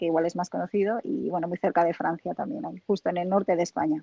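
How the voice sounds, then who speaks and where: Recorded dry and close with no echo, a woman talks fairly quickly at a medium pitch with ordinary pitch variation. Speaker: home staging professional. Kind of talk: interview.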